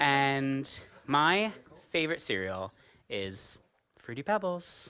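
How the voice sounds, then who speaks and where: A very slow man's voice with an American accent, fairly high in pitch and bright, sharp in tone, full of very wide pitch swings, on a very clean recording with a silent background. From US, New York. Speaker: singer in a vocal group. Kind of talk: casual introductions in a rehearsal.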